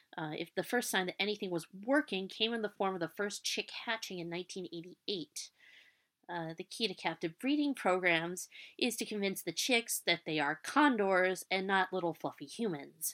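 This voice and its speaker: A woman's medium-pitched voice at a moderate pace, with lively intonation and a dry, close sound free of echo. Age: 30s. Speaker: podcast host and student. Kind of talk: solo educational podcast. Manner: hesitant with many fillers.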